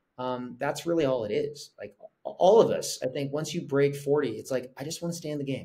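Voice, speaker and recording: Somewhat breathy and dark, mellow in tone, the voice carries an American accent, ordinary pitch variation and big swings in loudness over a quiet background. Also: man, fairly high pitch for a man, fairly quick pace. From Korea-born, raised abroad by American parents (Italy, Singapore, London, Norway). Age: 40s. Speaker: fitness content creator; podcast guest. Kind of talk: podcast interview. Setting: video call. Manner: talkative. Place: home room. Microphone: webcam.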